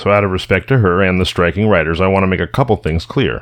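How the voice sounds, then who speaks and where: The speaker is a man with a very deep, low pitch. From rural California. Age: 40s. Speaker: podcast host. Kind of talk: scripted narration; casual chat. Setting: remote call.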